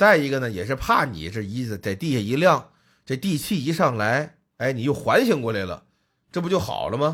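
A man's medium-pitched, animated voice at a moderate pace, with very wide pitch swings, on a very clean recording with a silent background. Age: middle-aged. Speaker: podcast host. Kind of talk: casual chat.

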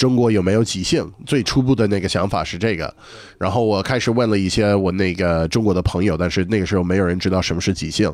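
A man with a fairly low voice speaks very fast, with ordinary pitch variation. The recording is very clean, the background silent. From northeastern US. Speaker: stand-up comedian. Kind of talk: casual chat. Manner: halting.

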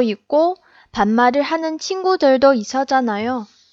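Speaking at a very slow pace, a woman uses a high pitch. Her intonation is lively. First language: Chinese (speaking Korean). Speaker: podcast co-host, Korean learner. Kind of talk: casual chat.

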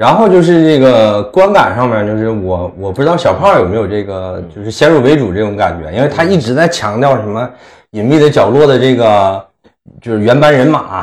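The speaker has a strong Northeastern Chinese accent and a moderate pace. The pitch swings very widely. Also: man, medium pitch for a man. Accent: strong Northeastern Mandarin. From Northeast China (Inner Mongolia part). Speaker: podcast host. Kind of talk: casual chat.

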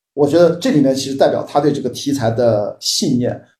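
Pitch swings very wide as a man talks at a fairly quick pace. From Qingdao, Shandong, China. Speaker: film industry commentator. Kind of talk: casual chat. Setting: video call.

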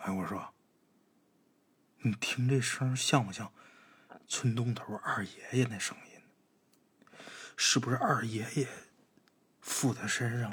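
A man puts on a shaky character voice at a medium pitch. He talks fairly slowly, with long, frequent pauses. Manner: trembling, fearful.

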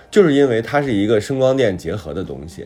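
Music plays in the background as the voice makes very wide pitch swings. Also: man. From Hebei, northern China. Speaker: writer and talk show co-host. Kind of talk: casual chat.

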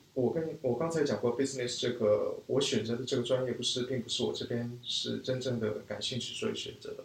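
A man talks at a fairly quick pace with hardly any pauses. Behind him there is noticeable background noise. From raised in China from age 4, Korean family. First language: Korean (speaking Chinese). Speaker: business school student, e-commerce marketer. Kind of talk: interview conversation. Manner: halting, many fillers.

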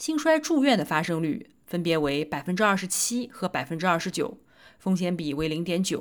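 A woman's normal speaking voice, fairly low in pitch, at a moderate pace with lively intonation. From China, Nanjing. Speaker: physician and medical podcast host. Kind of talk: scripted narration of research summaries.

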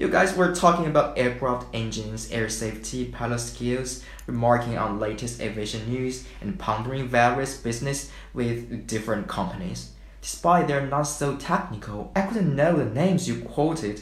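A man with a Chinese accent talks at a moderate pace, with audible room echo around him. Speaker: podcast co-host. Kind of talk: scripted podcast chat.

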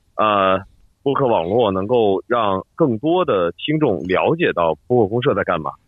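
A man's voice with lively intonation. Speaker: podcast network head. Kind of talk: casual interview. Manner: radio broadcaster style.

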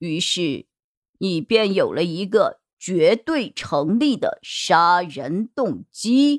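Doing a put-on character voice, a woman speaks slowly at a fairly low pitch with big pitch swings, the sound dry and close with no echo on a very clean recording with a silent background.

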